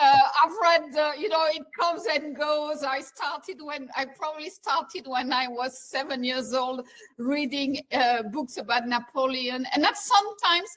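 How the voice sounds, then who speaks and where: Her high voice carries a French accent. The woman talks at a moderate pace with lively intonation. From eastern France. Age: 60s. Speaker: business executive. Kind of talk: interview.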